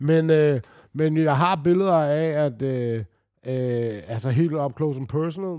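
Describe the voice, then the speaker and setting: A man's dark, mellow voice at a fairly high pitch, very slow in pace. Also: ordinary pitch variation. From Denmark. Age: 40s. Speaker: retired basketball player. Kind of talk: casual interview storytelling. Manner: halting, many fillers.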